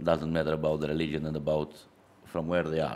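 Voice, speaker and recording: A man speaks in a very deep, low pitch. His intonation stays monotone and flat. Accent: Albanian. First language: Albanian. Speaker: podcast host. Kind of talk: casual chat.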